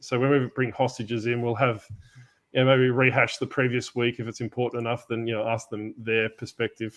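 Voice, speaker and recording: Speaking at a fairly quick pace, a man with an Australian accent keeps a medium pitch and a monotone, flat intonation. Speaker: podcast host. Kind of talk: casual chat. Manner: casual, improvised.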